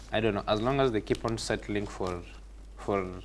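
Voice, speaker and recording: A man talks at a fairly quick pace. He speaks with a non-native accent. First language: not English. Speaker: TV morning show panelist. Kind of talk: studio news discussion. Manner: halting, repeats words.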